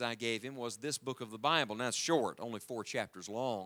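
In a very clean recording with a silent background, a man with an Appalachian accent talks very fast in a bright, sharp tone. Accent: noticeable American Appalachian. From US South, West Virginia mountains. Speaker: evangelist preacher. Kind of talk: sermon. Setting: church with congregation.

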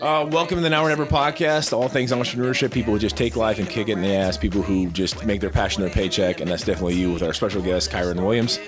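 Over noticeable background noise, a man with an American accent speaks very fast with hardly any pauses, at a fairly low pitch with very wide pitch swings and very even loudness. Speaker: podcast host. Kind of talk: casual interview chat.

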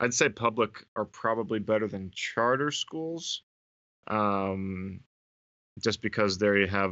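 In a plain, everyday voice, a man talks with an American accent. His pitch is fairly low, with ordinary pitch variation. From Northern California. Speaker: podcast co-host and substitute teacher. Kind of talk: casual chat.

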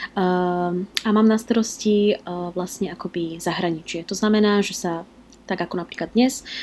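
The recording is very clean, with a silent background. A woman with a normal speaking voice talks at medium pitch and with fairly even intonation. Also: moderate pace. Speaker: blogger and expat working in Japan. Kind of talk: interview.

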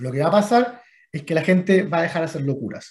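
Lively intonation marks a man's very fast speech. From Chile. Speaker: venture capital investor. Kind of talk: interview.

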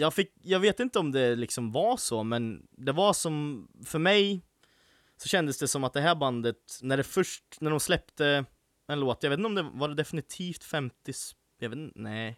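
A man's unremarkable speaking voice, fairly high in pitch and moderate in pace, dry and close with no echo. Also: lively intonation, very clean recording, silent background. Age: 20s. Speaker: podcast host. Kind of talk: casual chat.

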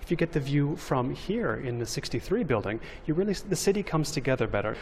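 This man has a fairly high pitch and an American accent. He speaks at a fairly quick pace, somewhat breathy, with very wide pitch swings. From Los Angeles, US West Coast. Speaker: urbanism writer and podcaster. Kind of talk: interview. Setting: on location at a skyscraper.

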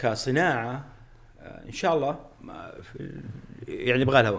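A man speaks at a fairly slow pace in a fairly high pitch, with long, frequent pauses. His loudness swings widely, and room echo is audible. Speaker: aerospace engineer and company executive. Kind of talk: interview conversation. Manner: halting with repetitions; frequent English code-switching.

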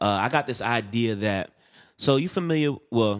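Fairly low in pitch, a man talks with ordinary pitch variation and a slight Southern US accent. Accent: light Southern-tinged US. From Bronx, New York, then Florida and Atlanta. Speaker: guest. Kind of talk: casual chat. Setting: studio.

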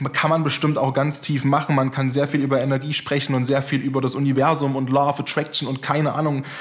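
A man speaks very fast at a fairly high pitch with monotone, flat intonation and very even loudness over noticeable background noise. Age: 20s. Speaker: podcast host. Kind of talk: casual interview chat.

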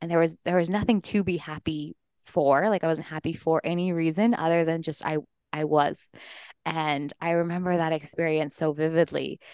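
A woman with an American accent speaks in an unremarkable speaking voice at a moderate pace, fairly low in pitch with fairly even intonation, over a quiet background in a dry, close sound with no echo. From Colorado. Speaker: breathwork coach and entrepreneur. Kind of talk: interview conversation.

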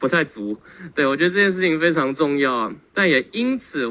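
Bright and sharp in tone, the voice moves at a fairly quick pace. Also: man. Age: 20s. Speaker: tai chi athlete. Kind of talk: testimony.

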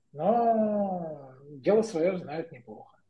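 Lively intonation runs through this man's high-pitched voice, whose tone is dark and mellow. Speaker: engineering manager. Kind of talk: casual chat. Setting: video call.

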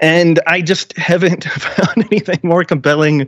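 Using an ordinary speaking voice, a man talks at a fairly slow pace with ordinary pitch variation and a dry, close sound with no echo. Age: 30s. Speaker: health podcaster and coach. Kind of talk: casual interview.

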